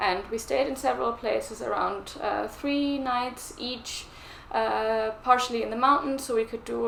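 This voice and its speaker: With a German accent, a woman speaks at a fairly slow pace and a fairly high pitch, with audible room echo and noticeable background noise. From Germany. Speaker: knitting vlogger. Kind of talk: casual vlog chat.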